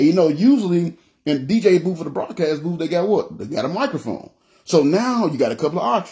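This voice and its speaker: Loud and very fast, a man speaks with a high pitch and a dark, mellow tone. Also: lively intonation. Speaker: preacher. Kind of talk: sermon. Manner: halting, repetitive.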